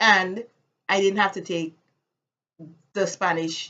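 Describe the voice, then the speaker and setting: A woman's medium-pitched voice with a Caribbean accent at a moderate pace. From US Virgin Islands, Saint Thomas. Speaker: vlogger. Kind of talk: casual vlog monologue.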